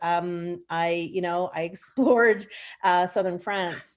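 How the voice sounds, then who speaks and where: Recorded very cleanly with a silent background, a woman with a Canadian accent speaks at medium pitch and a fairly slow pace in an ordinary speaking voice. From Nova Scotia, Canada. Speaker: professor of French. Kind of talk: interview answer. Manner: conversational, with many fillers.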